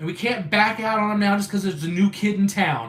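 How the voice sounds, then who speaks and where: Noticeable noise sits in the background. Over it, a man talks in a high pitch. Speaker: YouTuber live streamer. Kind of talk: casual chat. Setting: live stream. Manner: fast; halting.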